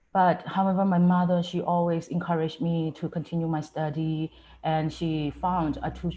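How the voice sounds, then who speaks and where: A woman with a Myanmar accent, a very deep, low pitch and a dark, mellow tone, somewhat breathy, at a moderate pace with fairly even intonation, over a quiet background. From Myanmar, Chin State. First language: Chin. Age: 20s. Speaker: student speaker. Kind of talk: personal testimony.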